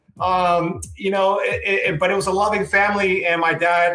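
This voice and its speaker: A man talks at a medium tempo while background noise remains clearly audible. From Puerto Rico, moved to US at about seven. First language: Spanish. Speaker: fitness business owner. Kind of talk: podcast interview. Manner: casual, many fillers.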